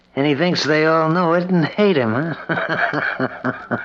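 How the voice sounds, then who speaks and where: A man with a fairly high pitch speaks against noticeable background noise. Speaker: radio drama actor, young assistant. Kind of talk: old-time radio drama. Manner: breezy, slangy.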